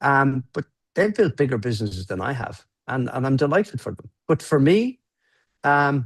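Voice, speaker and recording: A man speaks in a plain, everyday voice, fairly high in pitch, with lively intonation at a moderate pace. The sound is dry and close, with no echo. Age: 60s. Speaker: entrepreneur. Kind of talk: casual chat.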